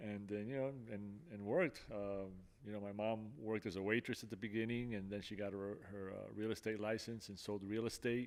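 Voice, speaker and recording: Talking at a fairly quick pace, a man keeps his fairly low voice in fairly even intonation. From Miami and New Jersey, US (Cuban-born). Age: 60s. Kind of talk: testimony. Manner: halting, many fillers.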